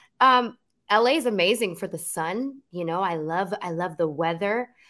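A woman with an American accent sounds animated, her tone bright and sharp, in a very clean recording with a silent background. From New Jersey. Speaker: singer. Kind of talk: casual interview.

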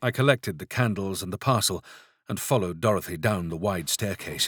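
In a very clean recording with a silent background, a man speaks at a moderate pace with a fairly low pitch, ordinary pitch variation and a plain, everyday voice. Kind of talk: gothic horror audiobook narration. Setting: studio.

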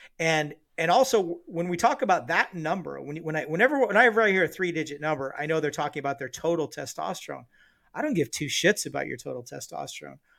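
Talking very fast, a man with fairly high pitch and vocal fry uses lively intonation. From Southern California, then a small rural town. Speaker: military veteran and doctor. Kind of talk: casual chat.

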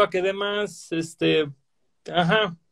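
A man with a Mexican accent. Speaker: podcast host. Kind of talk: casual chat.

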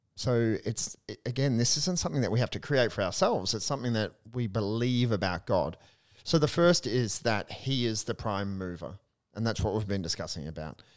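A man speaks fairly quickly at a medium pitch, with lively intonation and an unremarkable speaking voice. The recording is very clean, with a silent background. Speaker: priest and podcast co-host. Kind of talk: casual discussion of a spiritual book.

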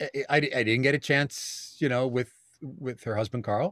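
With a New York accent, a man speaks with ordinary pitch variation in a dry, close sound with no echo. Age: 50s. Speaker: actor and voiceover artist. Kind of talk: casual interview.

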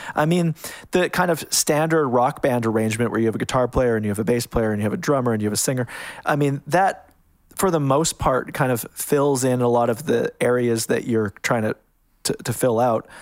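A man talks at a fairly quick pace in a Western Canadian accent. His pitch is medium with ordinary variation, and his loudness is very even. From Canada, small town in Alberta. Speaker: music producer and mixing engineer. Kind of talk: interview. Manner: halting, many fillers and restarts.

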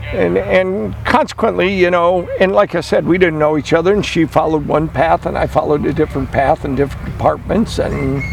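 A man speaking at a fairly quick pace amid noticeable background noise. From US Midwest. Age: 70s. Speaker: classic car collector and restorer. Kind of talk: casual radio interview.

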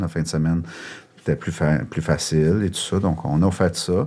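A man with a very deep, low pitch and fairly even intonation, in a Quebec accent. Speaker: shelter director and co-founder. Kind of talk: casual interview.

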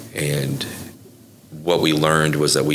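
A man with a very deep, low pitch and an American accent, monotone and flat in intonation, with audible room echo and noticeable background noise. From Oklahoma (Bethany). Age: 40s. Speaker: coffee business owner, nonprofit founder. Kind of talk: interview conversation.

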